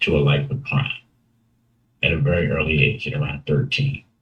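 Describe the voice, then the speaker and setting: An American accent marks this man's speech. His pitch moves in very wide swings. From Baltimore, Maryland, US. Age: 60s. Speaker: interview guest telling life story. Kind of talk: testimony interview.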